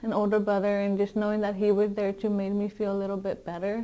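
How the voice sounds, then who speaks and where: A woman speaks with a Spanish accent at a medium pitch. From Mexico, raised in US from age six. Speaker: education student, former English learner. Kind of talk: interview. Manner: hesitant, many fillers.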